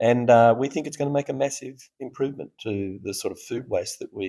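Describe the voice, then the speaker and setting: On a very clean recording with a silent background, a man speaks at a moderate pace in an Australian accent. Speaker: startup founder. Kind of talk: interview. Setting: conference festival floor. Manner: animated.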